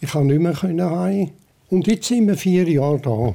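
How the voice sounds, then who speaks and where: A man with a high pitch and a dark, mellow tone talks at a fairly slow pace with lively intonation. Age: 80s. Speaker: care home resident. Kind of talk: interview.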